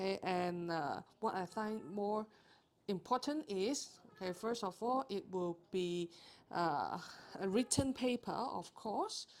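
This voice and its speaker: A woman speaks at a very slow pace. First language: not English. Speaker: accounting tutor. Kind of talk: tutorial. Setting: live stream. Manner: hesitant, frequent fillers.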